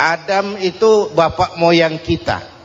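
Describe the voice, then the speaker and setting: A man's high-pitched voice in a relaxed tone, over noticeable background noise. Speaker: Islamic preacher. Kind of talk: humorous Islamic sermon to a congregation. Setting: old recording of a live sermon. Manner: relaxed, firm, humorous.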